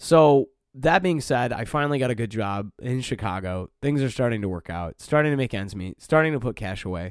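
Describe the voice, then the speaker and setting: A man with a Midwestern US accent speaks at medium pitch and a fairly quick pace, animated and with lively intonation, hardly pausing, in a very clean, dry, close recording with no echo and a silent background. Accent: US Midwest. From Detroit, Michigan. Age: 30s. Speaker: podcast host and stand-up comedian. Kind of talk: casual monologue. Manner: animated, laughs often.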